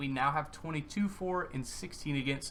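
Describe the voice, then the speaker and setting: A man talks at a moderate pace with ordinary pitch variation and a plain, everyday voice. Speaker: gaming YouTuber. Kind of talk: gameplay commentary.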